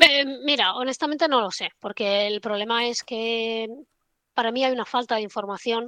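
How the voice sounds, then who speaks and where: A woman's ordinary speaking voice, fairly high-pitched, at a moderate pace, with a dry, close sound and no echo. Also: ordinary pitch variation. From Spain, Barcelona. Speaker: trader. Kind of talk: casual interview chat.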